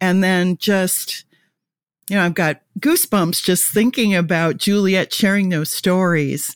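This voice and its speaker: In a dry, close sound with no echo and a very clean recording with a silent background, a woman uses an ordinary speaking voice at medium pitch, speaking at a fairly slow pace with ordinary pitch variation and very even loudness. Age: 60s. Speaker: marketing director and podcast host. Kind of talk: casual interview.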